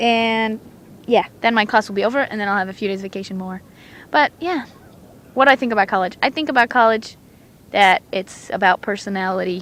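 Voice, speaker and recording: In a non-native accent, a woman with a fairly high voice talks fairly quickly with ordinary pitch variation, stopping often for long pauses. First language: not English. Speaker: podcast co-host. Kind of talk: casual chat. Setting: outdoors on a beach. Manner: animated.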